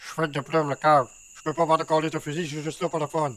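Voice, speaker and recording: In a gruff, put-on character voice, someone speaks at a very fast pace with flat, monotone intonation. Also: man, fairly high pitch for a man. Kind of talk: crude cartoon comedy. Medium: cartoon. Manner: gruff, heavily swearing.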